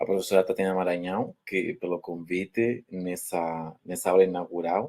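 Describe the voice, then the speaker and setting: This man speaks with a Spanish accent. His voice is very deep and low, with a dark, mellow tone. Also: fairly even intonation, moderate pace. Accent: Spanish-speaker accent in Portuguese. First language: Spanish (speaking Portuguese). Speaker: university professor. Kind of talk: lecture. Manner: halting.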